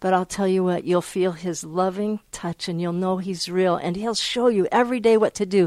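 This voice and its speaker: This is a normal speaking voice at a moderate pace with fairly even intonation. The very clean recording has a silent background and a dry, close sound with no echo. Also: woman. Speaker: shofar dealer. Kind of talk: interview.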